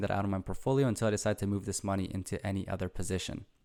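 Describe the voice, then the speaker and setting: Talking at a very fast pace, a man has a fairly low pitch, a dark, mellow tone and fairly even intonation. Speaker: finance YouTuber. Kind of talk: investing commentary.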